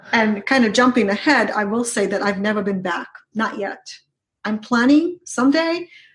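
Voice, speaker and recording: A woman's somewhat breathy, fairly high voice moves at a moderate pace with lively intonation. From Ukraine. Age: 40s. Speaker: business strategist. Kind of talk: interview.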